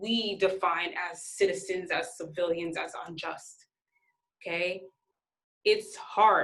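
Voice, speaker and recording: A woman with a medium pitch and a bright, sharp tone talks at a fairly slow pace with fairly even intonation, and the room echo is audible. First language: not English. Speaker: sociology instructor. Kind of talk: recorded lecture. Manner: halting, self-described stuttering.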